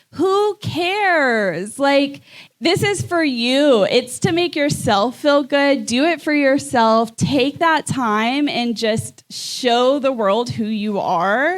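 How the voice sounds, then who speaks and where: Loud and high-pitched, a woman talks at a very slow pace with lively intonation and hardly any pauses. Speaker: podcast co-host. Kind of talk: live podcast conversation.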